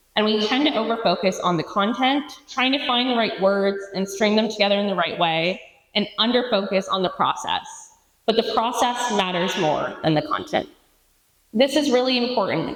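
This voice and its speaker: Audible room echo surrounds a woman speaking at a moderate pace in a fairly high pitch with ordinary variation. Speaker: animal rights advocate, conference speaker. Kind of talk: conference talk. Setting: stage with audience. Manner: interactive, addressing audience.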